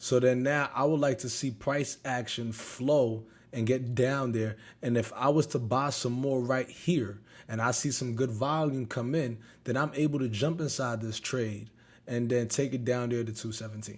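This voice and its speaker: With an ordinary speaking voice, a man talks at a medium pitch and moderate speed, his intonation fairly even. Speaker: options trader and trading youtuber. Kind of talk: trading recap tutorial.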